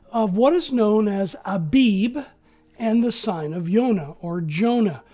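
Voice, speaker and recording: On a very clean recording with a silent background, a woman with a fairly high pitch and a dark, mellow tone speaks very slowly, her pitch swinging very widely. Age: 60s. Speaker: bible teacher. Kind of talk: scripture study lecture. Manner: formal.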